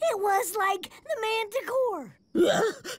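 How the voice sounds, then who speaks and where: A put-on character voice, squeaky and extremely high-pitched, with no sex implied. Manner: helium-like.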